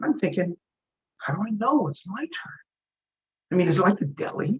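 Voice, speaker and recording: A man with an American accent speaks in a raised, projected voice at a high pitch with very wide pitch swings. The sound is dry and close, with no echo. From New York state (Middletown). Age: 60s. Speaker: comedian. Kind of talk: stand-up.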